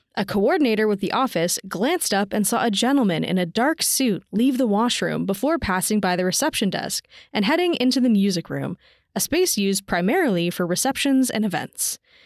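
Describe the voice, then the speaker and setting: In a very clean recording with a silent background and a dry, close sound with no echo, a woman uses a normal speaking voice, fairly high in pitch, with lively intonation, a fairly quick pace and very even loudness. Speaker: podcast co-host. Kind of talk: ghost story telling, dramatic narration of a spectral encounter.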